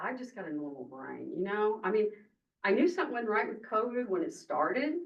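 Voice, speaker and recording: Loud and at a fairly quick pace, a woman talks with very wide pitch swings. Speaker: member of the public speaking at a county meeting. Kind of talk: public comment at a government meeting. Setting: county commissioners meeting room. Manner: passionate, emotional.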